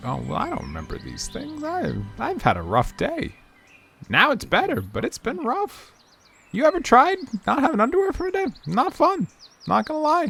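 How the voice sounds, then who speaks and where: A man's put-on character voice with long, frequent pauses and music in the background. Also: moderate pace. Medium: actual play. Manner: rambling, scatterbrained.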